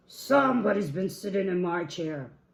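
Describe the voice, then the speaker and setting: In a put-on character voice, the speaker sounds raspy at a middle pitch and moves at a moderate pace. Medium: read story.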